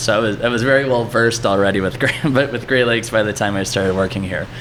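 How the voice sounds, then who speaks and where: A man with a Cleveland accent talks at a very fast pace with ordinary pitch variation, amid audible room echo and noticeable background noise. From Cleveland, Ohio, US Midwest. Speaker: brewery marketing manager. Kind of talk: casual interview. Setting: at the brewery.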